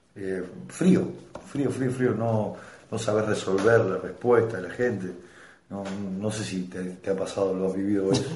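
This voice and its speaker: Through noticeable background noise and audible room echo, the speaker talks fairly slowly with long, frequent pauses and ordinary pitch variation. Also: man, fairly low pitch for a man. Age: 30s. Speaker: stand-up comedian. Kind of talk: casual chat. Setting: home recording over beers.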